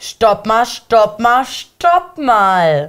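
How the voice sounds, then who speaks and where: A woman speaking at a very slow pace, with very wide pitch swings. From Germany. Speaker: YouTube reality TV commentator. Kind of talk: casual chat. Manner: animated. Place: studio.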